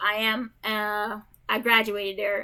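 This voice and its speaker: The tone here is bright and sharp. It belongs to a woman. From Jamaica. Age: 30s. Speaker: gaming streamer. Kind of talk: casual gameplay chat. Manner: rambling, many fillers.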